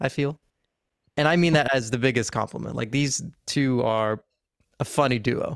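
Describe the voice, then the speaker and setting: An unremarkable speaking voice at a fairly quick pace, with ordinary pitch variation. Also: man. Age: 20s. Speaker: student podcast host. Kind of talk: casual interview.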